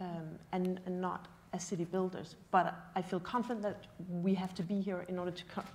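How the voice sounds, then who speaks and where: A woman's somewhat breathy voice at a fairly quick pace, monotone and flat in intonation. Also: medium pitch for a woman. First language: not English. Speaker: panelist in urban development. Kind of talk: panel discussion. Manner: halting.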